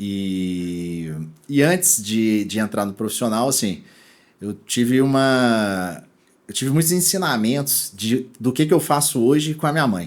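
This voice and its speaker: On a very clean recording with a silent background, a man at a medium pitch speaks at a fairly slow pace with very wide pitch swings. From Brazil, Minas Gerais (Belo Horizonte). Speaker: e-commerce executive. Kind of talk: interview podcast. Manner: casual, many fillers and restarts.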